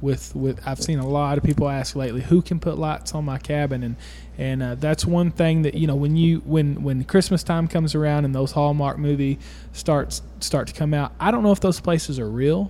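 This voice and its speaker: Delivered at a moderate pace, the speech sits over noticeable background noise. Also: man. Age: 20s. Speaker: podcast host. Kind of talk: casual chat.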